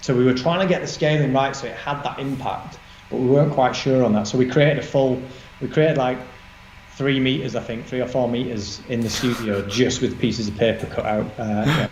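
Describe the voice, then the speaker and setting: A man with a Yorkshire accent, medium pitch and ordinary pitch variation at a fairly quick pace, amid audible room echo and noticeable background noise. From northern England, Barnsley, South Yorkshire. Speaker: designer, creative director. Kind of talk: interview chat. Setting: live online session. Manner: halting, many fillers.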